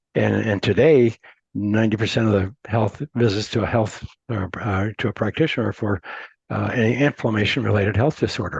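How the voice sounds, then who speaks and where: The delivery is fairly quick, with vocal fry and ordinary pitch variation. The sound is dry and close with no echo, over a quiet background. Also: man, fairly low pitch for a man. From Montana, US. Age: 70s. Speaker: entrepreneur. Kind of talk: interview. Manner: halting, many repeated words.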